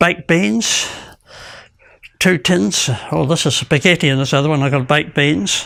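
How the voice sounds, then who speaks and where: Speaking fairly slowly, a man uses a fairly high voice with a bright, sharp tone. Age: 80s+. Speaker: elderly man demonstrating home exercise. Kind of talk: casual demonstration. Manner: halting.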